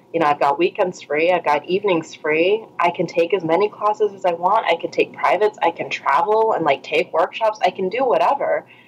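The speaker is a woman. She goes at a fairly quick pace, with noticeable background noise present. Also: medium pitch for a woman, ordinary pitch variation. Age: 30s. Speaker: pole dance teacher and blogger. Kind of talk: casual interview chat.

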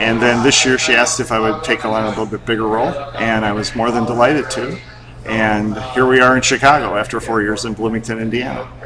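Against noticeable background noise, a man with a medium pitch talks at a very fast pace with fairly even intonation. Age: 50s. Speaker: film festival board member. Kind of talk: interview. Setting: film festival venue.

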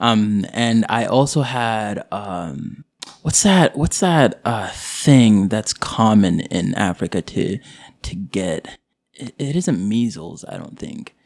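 The voice moves at a very slow pace. Its pitch swings very widely. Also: man, medium pitch for a man. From Boise, Idaho, US (born in Kenyan refugee camp to Somali parents). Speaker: hospital coworker, guest. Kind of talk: casual interview chat. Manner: halting, many fillers; laughs often.

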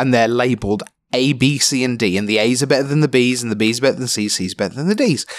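In a London accent, a man speaks at medium pitch on a very clean recording with a silent background. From London, England. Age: 40s. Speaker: esports commentator. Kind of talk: casual interview. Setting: hotel room.

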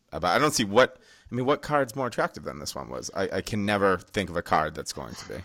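A man talks at a very fast pace with vocal fry, a bright, sharp tone and very wide pitch swings on a very clean recording with a silent background. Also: fairly low pitch for a man. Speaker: podcast host. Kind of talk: casual banter about MMA. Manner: joking, profane.

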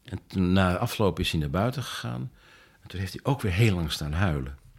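In a very clean recording with a silent background, a man with a very deep, low pitch and vocal fry speaks at a moderate pace with lively intonation. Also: long, frequent pauses. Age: 70s. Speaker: author and retired filmmaker. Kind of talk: interview. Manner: halting.

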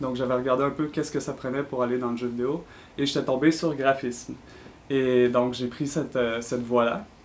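A man with a Quebec accent, medium pitch, fairly even intonation and a fairly quick pace. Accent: Québécois French. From Quebec City. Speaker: designer. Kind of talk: interview.

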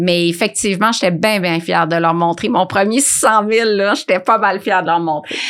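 A woman talks with a Quebec accent and ordinary pitch variation. Her loudness stays very even. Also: medium pitch for a woman, moderate pace. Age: 50s. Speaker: nutritionist and food entrepreneur. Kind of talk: interview conversation.

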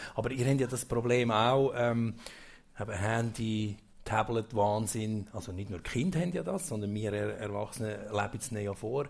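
A somewhat breathy man's voice at medium pitch, with ordinary pitch variation. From central Switzerland, Obwalden. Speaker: event host. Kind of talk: casual stage interview. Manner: halting.

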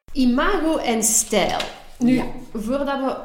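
A woman with a fairly high pitch is heard through noticeable background noise and audible room echo. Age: 40s. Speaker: podcast co-host. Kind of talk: casual chat.

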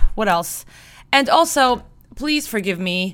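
A woman talks loudly in a bright, sharp, animated tone with lively intonation. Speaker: music podcast host and magazine editor. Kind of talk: casual monologue between music tracks. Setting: home studio microphone recording.

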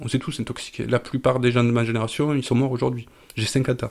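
A man's medium-pitched voice at a fairly quick pace, with monotone, flat intonation. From southern France, Marseille suburbs. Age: 50s. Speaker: psychedelic drug user. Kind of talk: personal testimony. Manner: halting, repeats words.

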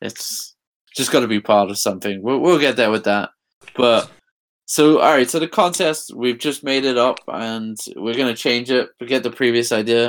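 A man with an English accent talks at a moderate pace and medium pitch on a very clean recording with a silent background. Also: ordinary pitch variation. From England. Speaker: podcast co-host. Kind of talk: casual chat.

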